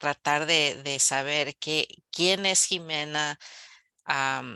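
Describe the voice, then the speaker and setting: The voice is bright and sharp with fairly even intonation, moving at a very slow pace in a dry, close sound with no echo over a quiet background. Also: woman. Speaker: novelist. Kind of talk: book club Q&A. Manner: halting, with fillers and restarts.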